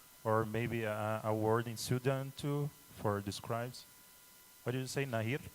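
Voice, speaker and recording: A man with a Brazilian accent and fairly even intonation. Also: medium pitch for a man, moderate pace. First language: Tupi. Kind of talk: interview. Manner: halting.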